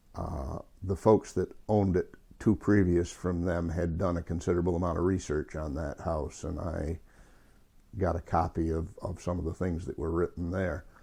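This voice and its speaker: In an American accent, a man speaks with a very deep, low pitch and a dark, mellow, somewhat breathy tone. His intonation is fairly even, and the background is quiet. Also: moderate pace. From northern New York, Potsdam. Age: 60s. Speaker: local historian interviewee. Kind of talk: oral history interview. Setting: at home. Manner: halting, with repetitions and fillers.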